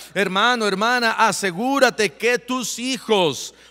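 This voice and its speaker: Using a raised, projected voice, a man speaks at a very slow pace in a high pitch, with a bright, sharp tone and ordinary pitch variation. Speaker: pastor. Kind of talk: sermon.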